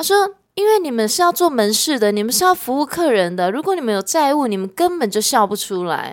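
Speaking at a fairly quick pace, a woman uses a high pitch. Her voice moves through very wide pitch swings. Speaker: sales executive. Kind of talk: casual chat.

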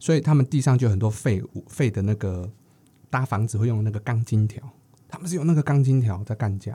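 The recording is very clean, with a silent background, and a man speaks at a fairly quick pace. His tone is dark and mellow, somewhat breathy, with ordinary pitch variation. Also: medium pitch for a man. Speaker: podcast co-host. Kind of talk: casual chat.

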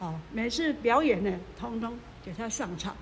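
Amid noticeable background noise and audible room echo, a woman speaks at a fairly slow pace with very wide pitch swings. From Hualien-Taitung, Taiwan. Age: 70s. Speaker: retired community association founder. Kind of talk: life story interview. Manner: halting, many filler sounds.

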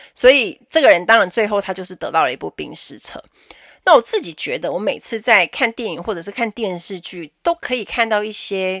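A woman at medium pitch, fairly quick pace and lively intonation, with big swings in loudness and a dry, close sound with no echo. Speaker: podcast host, flight attendant. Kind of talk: casual solo podcast talk. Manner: animated.

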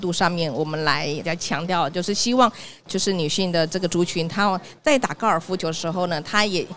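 A woman with a Taiwanese accent talks at a fairly quick pace. Her pitch is medium, with ordinary variation. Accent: Taiwanese Mandarin. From Taiwan, Tainan. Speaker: sales director at a health tech company. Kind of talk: live podcast interview. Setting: live podcast at an exhibition hall booth.

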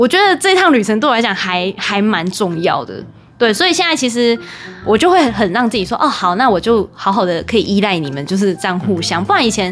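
Fairly quick speech from a woman at medium pitch, her pitch swinging very widely, over noticeable background noise. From Taiwan. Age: 20s. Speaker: former radio host. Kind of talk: casual chat. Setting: home bedroom.

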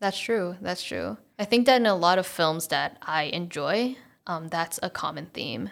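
A woman with a fairly low pitch and vocal fry speaks at a fairly slow pace with lively intonation on a very clean recording with a silent background. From Taiwan (Taipei). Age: 20s. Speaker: film student. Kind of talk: interview. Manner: energetic.

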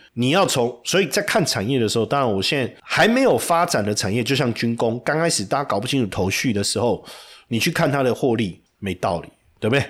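With a Taiwanese accent, the speaker talks at a fairly quick pace in an animated tone with lively intonation, in a very clean recording with a silent background. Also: man, medium pitch for a man. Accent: Taiwanese Mandarin. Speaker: stock market commentator. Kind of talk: market analysis monologue.

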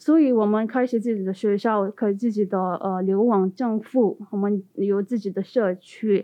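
A woman speaks at a fairly slow pace. Her pitch is fairly high, with ordinary pitch variation. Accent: Tibetan. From Tibetan exile community in India. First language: Tibetan (speaking Chinese). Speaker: postdoctoral researcher. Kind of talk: interview. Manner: halting.

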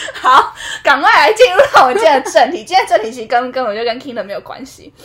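Amid noticeable background noise, a woman speaks in an animated tone with very wide pitch swings. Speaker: podcast co-host. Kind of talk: casual chat. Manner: animated, frequent laughter.

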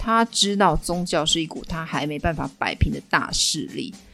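With music in the background, a woman speaks at a moderate pace with very wide pitch swings. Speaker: history storytelling podcaster. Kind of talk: storytelling monologue. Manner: animated.

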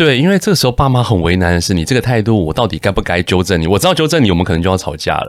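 The speech runs at a very fast pace with hardly any pauses and very wide pitch swings. Loudness stays very even on a very clean recording with a silent background. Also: man, fairly low pitch for a man. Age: 40s. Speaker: entrepreneur. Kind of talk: interview.

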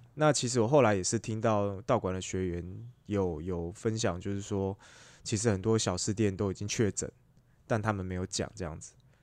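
Ordinary pitch variation and a moderate pace mark this voice with a Taiwanese accent. The background is quiet. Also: man, fairly low pitch for a man. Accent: Taiwanese Mandarin. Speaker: podcast co-host. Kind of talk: casual chat.

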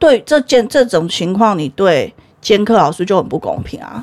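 A woman of medium pitch speaks at a moderate pace with very wide pitch swings. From Taiwan. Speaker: history teacher. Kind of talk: casual chat. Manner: animated.

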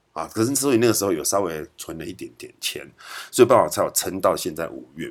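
At a very fast pace, the speaker talks with a Taiwanese accent and big swings in loudness. The recording is very clean, with a silent background. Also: man. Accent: Taiwanese Mandarin. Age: 40s. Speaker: podcast host. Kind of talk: casual monologue. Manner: halting, many fillers.

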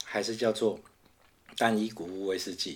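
A man at a medium pitch and a moderate pace. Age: 40s. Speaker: podcast co-host, whisky enthusiast. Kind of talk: casual chat.

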